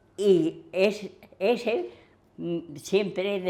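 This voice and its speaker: A woman speaks with ordinary pitch variation. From Villanueva de la Cañada, Madrid region, Spain. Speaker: oral history witness. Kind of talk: interview answer.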